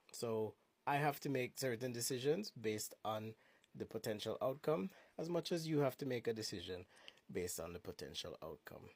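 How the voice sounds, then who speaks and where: Speaking at a moderate pace with long, frequent pauses, a man uses a medium pitch that swings very widely. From Jamaica. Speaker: social media commentator. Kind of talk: commentary video. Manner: measured, formal.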